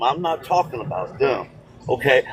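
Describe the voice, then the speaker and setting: A man speaks at a fairly slow pace while noticeable background noise fills the recording. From United States. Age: 60s. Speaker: call-in debate participant. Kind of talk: heated debate. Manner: animated.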